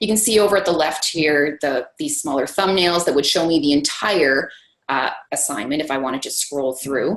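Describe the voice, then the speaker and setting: This is a normal speaking voice with lively intonation, moving at a moderate pace. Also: woman. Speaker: math instructor demonstrating grading software. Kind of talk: webinar software demo.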